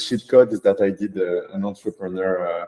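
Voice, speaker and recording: A man's fairly low-pitched voice, dark and mellow in tone, with a French accent. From France. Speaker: data scientist turned AI consultancy founder. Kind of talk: workshop presentation. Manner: halting, many fillers.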